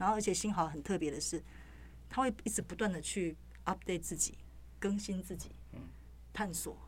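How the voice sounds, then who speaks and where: The speaker is a woman. She has a Taiwanese accent. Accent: Taiwanese Mandarin. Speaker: news reporter. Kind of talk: casual interview chat.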